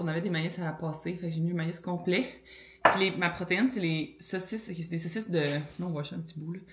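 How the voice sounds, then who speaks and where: A woman with a Quebec accent, fairly low in pitch, with fairly even intonation, noticeable background noise and audible room echo. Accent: Québécois French. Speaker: lifestyle vlogger. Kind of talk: casual vlog talk. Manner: filler-heavy, conversational.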